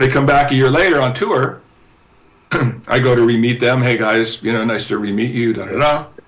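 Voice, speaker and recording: Over noticeable background noise, a man speaks at a fairly quick pace with an American accent. His pitch is medium, with ordinary variation. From Southern California. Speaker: guitarist and record company promoter. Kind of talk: casual interview storytelling. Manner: animated, halting with many repetitions.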